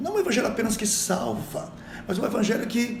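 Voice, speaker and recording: A man is heard over noticeable background noise, with audible room echo. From Brazil. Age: 60s. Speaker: missionary. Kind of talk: podcast interview. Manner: exhortative, preacher-like.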